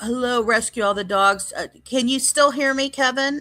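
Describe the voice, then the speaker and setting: A loud voice with a bright, sharp tone and fairly even intonation comes through on a very clean recording with a silent background. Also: woman. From Northwest Indiana, Hammond. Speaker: true crime streamer. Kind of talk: live stream narration. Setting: live stream with chat.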